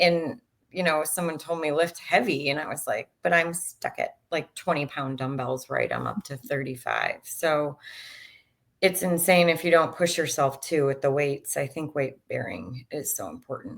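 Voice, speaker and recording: Speaking at a moderate pace with an American accent, a woman has a very deep, low pitch, ordinary pitch variation and vocal fry. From US Midwest, Chicago. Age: 40s. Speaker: dietitian and diet coach. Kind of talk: podcast interview.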